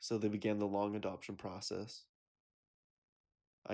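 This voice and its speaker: A man with a General American accent speaks in a fairly low pitch and a dark, mellow tone. His intonation is monotone and flat, on a very clean recording with a silent background. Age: 20s. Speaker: college student. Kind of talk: personal essay narration.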